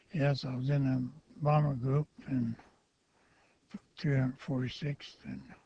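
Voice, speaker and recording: The voice is dark and mellow, somewhat breathy, and flat in a monotone, moving at a fairly slow pace. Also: man. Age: 80s+. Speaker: war veteran. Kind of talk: oral history interview. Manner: halting.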